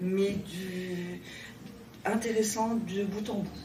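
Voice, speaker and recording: A woman speaks at medium pitch in a monotone, flat way. Noticeable background noise and audible room echo are present. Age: 60s. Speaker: public finance contract employee. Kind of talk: interview testimony.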